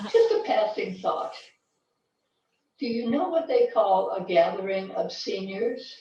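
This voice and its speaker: Her pace fairly slow and marked by long, frequent pauses, a woman speaks in a space with audible room echo. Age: 70s. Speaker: club member performing in talent show. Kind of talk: comedic monologue. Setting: video call.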